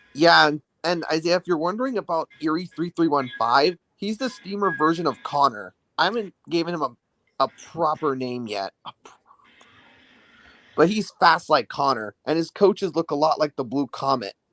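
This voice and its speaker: Bright and sharp in tone, a man speaks at a fairly high pitch with lively intonation. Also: moderate pace. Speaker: toy train collector. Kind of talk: casual chat. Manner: stutter.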